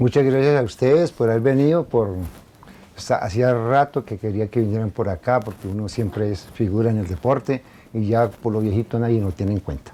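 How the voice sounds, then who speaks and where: The voice has a dark, mellow tone. Its pitch varies in an ordinary way. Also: man, medium pitch for a man, moderate pace, hardly any pauses. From Colombia, Suesca (Cundinamarca). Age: 60s. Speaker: former local athlete. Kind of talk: interview. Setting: at his home.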